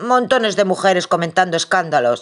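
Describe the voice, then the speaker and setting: In a put-on character voice, the speaker rumbles at a middle pitch, moving at a fairly quick pace with lively intonation. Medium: read story. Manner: grumbling, blustering.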